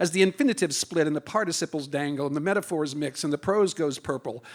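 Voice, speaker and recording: On a very clean recording with a silent background, a man talks at a very fast pace. His pitch sits fairly high. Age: 70s. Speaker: performance poet. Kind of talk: poetry slam performance. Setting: stage with audience.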